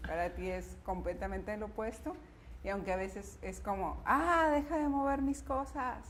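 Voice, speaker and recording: Through noticeable background noise and audible room echo, a woman is heard speaking. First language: Spanish. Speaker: wife answering couple questions. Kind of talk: casual chat.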